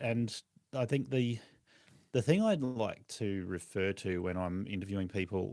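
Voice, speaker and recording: A very deep, low-pitched man's voice in an Australian accent, moderate pace and ordinary pitch variation, in a very clean recording with a silent background. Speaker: lawn care business owner and podcast host. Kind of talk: podcast interview.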